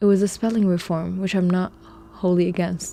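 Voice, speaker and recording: This woman's tone is dark and mellow. Her voice is somewhat breathy. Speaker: streamer. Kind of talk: casual live stream chat.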